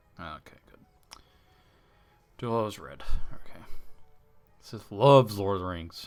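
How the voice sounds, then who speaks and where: A man speaks with music playing behind him. His pitch rises and falls in an ordinary way. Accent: slight Southern US. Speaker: gaming livestreamer. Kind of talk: gameplay livestream with chat. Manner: animated.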